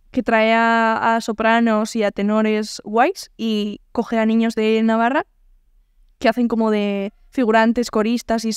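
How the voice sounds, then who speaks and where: A woman at a fairly high pitch with monotone, flat intonation, in a dry sound with no echo and a quiet background. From Navarre, Spain (Pamplona); Navarre, Spain. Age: 20s. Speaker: singer; podcast guest. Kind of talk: casual interview. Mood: relaxed, anecdotal. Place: home room. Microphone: studio mic.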